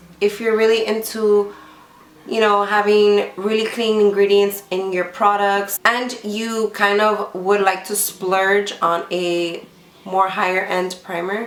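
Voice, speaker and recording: A woman speaks at a medium pitch in a monotone, flat way and at a very slow pace. The recording has noticeable background noise and audible room echo. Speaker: beauty vlogger. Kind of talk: product review vlog. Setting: home filming at night, lights lowered. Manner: casual, filler-heavy.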